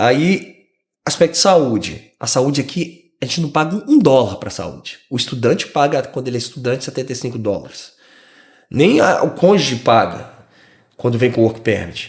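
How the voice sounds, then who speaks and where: Lively intonation from a somewhat breathy man at a medium pitch and moderate pace, in a very clean recording with a silent background. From Brazil, Rio de Janeiro. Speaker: immigrant podcast guest. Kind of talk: casual interview chat.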